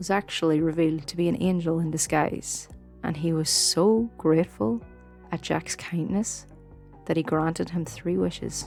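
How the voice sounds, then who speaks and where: With music in the background, a woman in a Donegal accent speaks at a fairly slow pace with long, frequent pauses, her pitch very deep and low, with ordinary variation. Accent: Donegal Irish. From Ireland. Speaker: podcast host. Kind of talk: folk tale storytelling.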